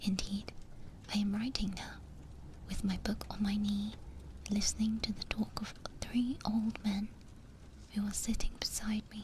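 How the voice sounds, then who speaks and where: A soft-spoken woman with a British accent, medium in pitch, monotone and flat, at a moderate pace, over noticeable background noise. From Britain. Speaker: VTuber. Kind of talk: sleep story reading.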